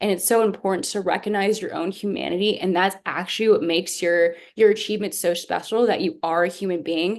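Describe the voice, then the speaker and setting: A woman talks at a fairly quick pace with hardly any pauses. Her pitch is medium and her intonation fairly even. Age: 20s. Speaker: youth activist and panelist. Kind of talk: panel discussion. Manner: fast.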